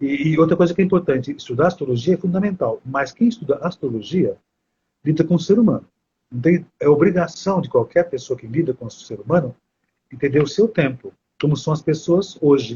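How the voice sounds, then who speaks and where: This man has a plain, everyday voice with a fairly high pitch. He talks at a fairly quick pace with ordinary pitch variation. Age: 60s. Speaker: astrology teacher. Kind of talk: live stream conversation. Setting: live stream.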